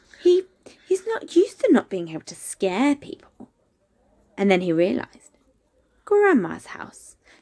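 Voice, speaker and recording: Here a woman speaks at a fairly slow pace. The sound is dry and close, with no echo. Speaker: storyteller. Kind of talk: children's story reading. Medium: read story.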